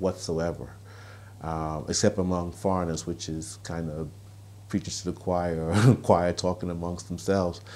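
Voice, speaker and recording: A man talks in a New York accent. His pitch is very deep and low. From Brooklyn, New York. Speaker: author, columnist and activist. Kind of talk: interview answer. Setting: outdoors. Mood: earnest, reflective. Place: home room. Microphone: lapel.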